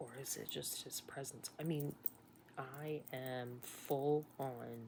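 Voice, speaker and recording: At a very slow pace, a woman speaks in a very deep, low pitch, somewhat breathy and with fairly even intonation. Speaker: nurse recounting illness. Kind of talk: personal storytelling monologue.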